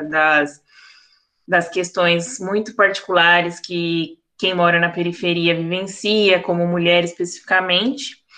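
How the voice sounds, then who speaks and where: A woman's bright, sharp tone, fairly slow and monotone. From East Zone of São Paulo, Brazil. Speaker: journalist. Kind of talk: panel discussion.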